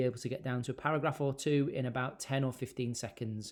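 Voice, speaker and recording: A man speaks in an unremarkable speaking voice at medium pitch with ordinary pitch variation and a fairly quick pace. The recording is very clean, with a silent background. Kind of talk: tutorial.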